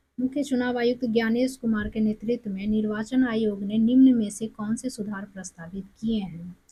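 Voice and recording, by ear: Speaking at a fairly quick pace, a woman has a fairly high pitch, a dark, mellow tone with a slightly husky edge, and fairly even intonation.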